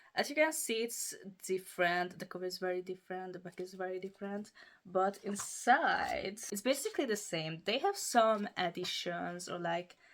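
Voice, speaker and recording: A woman with a Hungarian accent speaks at a moderate pace and medium pitch, with ordinary pitch variation and big swings in loudness. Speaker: book YouTuber. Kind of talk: casual show-and-tell review.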